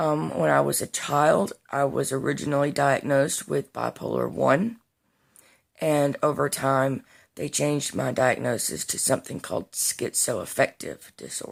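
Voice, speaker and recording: A woman with a Southern US accent on a very clean recording with a silent background. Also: moderate pace. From US Deep South. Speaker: vlogger. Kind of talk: casual vlog monologue. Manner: unscripted, with fillers.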